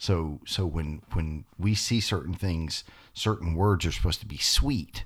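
The man's voice is very deep and low and somewhat breathy. The recording is very clean, with a silent background. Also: ordinary pitch variation, fairly slow pace. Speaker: podcast co-host. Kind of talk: casual religious discussion.

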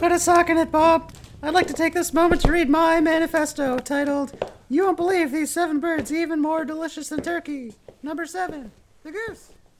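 Pitched extremely high, a put-on character voice moves at a moderate pace. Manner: earnest, proud, declamatory.

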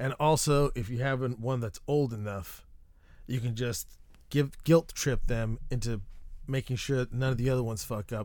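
A normal speaking voice from a man, medium-pitched and fairly even in intonation, at a moderate pace, in a very clean recording with a silent background. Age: 30s. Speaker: podcast host. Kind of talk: casual monologue. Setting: treehouse recording space. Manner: rambling, self-interrupting.

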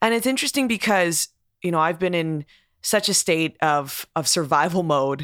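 An unremarkable speaking voice with lively intonation and very even loudness comes through in a dry, close sound with no echo, on a very clean recording with a silent background. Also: woman, fairly low pitch for a woman, moderate pace. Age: 30s. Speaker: podcast host. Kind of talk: interview conversation.

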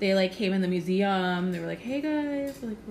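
A woman with an American accent speaks at a moderate pace in a medium pitch, her intonation lively, with audible room echo and noticeable background noise. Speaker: podcast host, embroidery artist. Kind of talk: casual chat.

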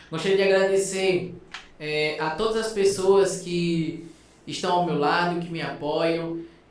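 A high-pitched man speaks at a fairly slow pace with fairly even intonation, with audible room echo and noticeable background noise. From Brazil, Alagoas (Northeast). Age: 20s. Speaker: biomedical scientist. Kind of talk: casual interview chat. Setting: studio.

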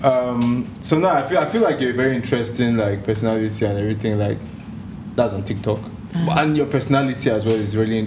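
A man speaks at a very fast pace in a medium pitch with ordinary pitch variation. Noticeable background noise is present. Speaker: podcast host. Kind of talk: casual podcast chat. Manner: energetic, slangy.

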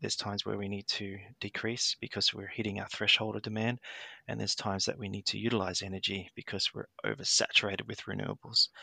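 The speaker has an Australian accent. The sound is dry and close with no echo, over a quiet background. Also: man. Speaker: HVAC technician and grid industry worker. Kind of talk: interview. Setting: remote call from New Zealand. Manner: hesitant with many fillers.

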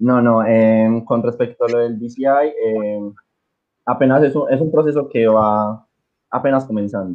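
A man speaks at a medium pitch with fairly even intonation. His pace is fairly slow, broken by long, frequent pauses. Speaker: music teacher and marching band organizer. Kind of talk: casual chat.

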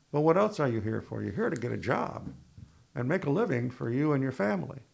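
At a fairly quick pace, a man talks at medium pitch with very wide pitch swings and vocal fry. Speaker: university administrator. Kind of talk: interview.

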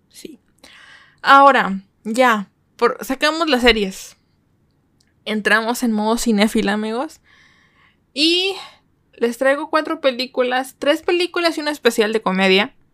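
In a high pitch and an animated tone, a woman speaks at a fairly slow pace with lively intonation and long, frequent pauses. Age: 20s. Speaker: podcast host. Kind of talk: casual solo podcast monologue. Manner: animated, chatty; halting with frequent repetitions and fillers.

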